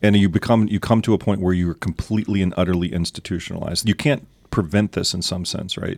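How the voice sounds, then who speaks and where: A very fast-talking man with an American accent and ordinary pitch variation, in a dry, close sound with no echo on a very clean recording with a silent background. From US South. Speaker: church elder. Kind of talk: casual chat.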